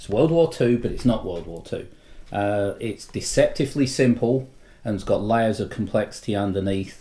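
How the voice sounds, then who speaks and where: A man with an English accent speaks at a moderate pace and medium pitch, with lively intonation. His tone is dark and mellow, and somewhat breathy. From England. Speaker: board game enthusiast. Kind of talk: casual chat. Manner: hesitant, many ums.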